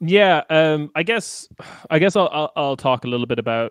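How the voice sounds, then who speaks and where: A man with an Irish accent and lively intonation, with a dry, close sound, no echo and a quiet background. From Ireland. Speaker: podcaster. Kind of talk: casual chat.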